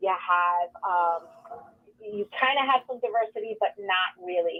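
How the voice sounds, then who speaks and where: A woman speaks at a fairly slow pace with a New York accent. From New York City, the Bronx and Queens. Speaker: nonprofit executive director. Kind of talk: interview. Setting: radio studio.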